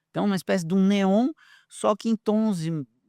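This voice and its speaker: The voice has a dark, mellow tone. The recording is very clean, with a silent background and a dry, close sound with no echo. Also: man. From southern Brazil, Porto Alegre. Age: 60s. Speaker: researcher and speaker. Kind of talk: podcast interview. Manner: animated.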